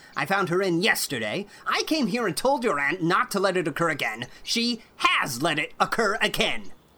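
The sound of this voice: Lively intonation marks this delivery. It comes in an unforced reading voice.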